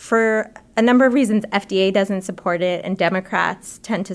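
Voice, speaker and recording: In a very clean recording with a silent background, a woman has a plain, everyday voice and a medium pitch. She speaks at a moderate pace with fairly even intonation. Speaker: health policy reporter. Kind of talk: interview discussion.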